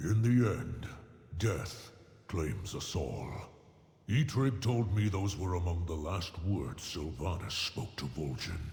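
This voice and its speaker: Amid audible echo, a man puts on a character voice with a very deep, low pitch at a fairly slow pace. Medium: video game. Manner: gruff, grave.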